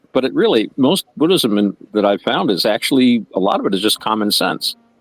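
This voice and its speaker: Music plays in the background while a man speaks at a fairly quick pace. His pitch is fairly low, and the sound is dry and close with no echo. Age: 60s. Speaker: podcast co-host. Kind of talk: casual discussion. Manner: relaxed, conversational with many fillers.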